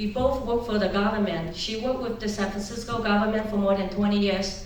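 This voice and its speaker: Amid noticeable background noise and audible room echo, a woman speaks in a fairly high voice with fairly even intonation. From China, rural. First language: Chinese. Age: 50s. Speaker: political candidate. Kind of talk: political speech.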